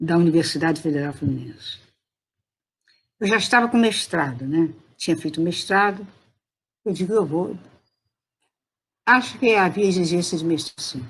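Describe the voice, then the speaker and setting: At a moderate pace, a woman with a fairly low, somewhat breathy voice uses lively intonation and takes long, frequent pauses. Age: 80s+. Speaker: retired teacher and education professor. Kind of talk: interview answer. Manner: good-humoured.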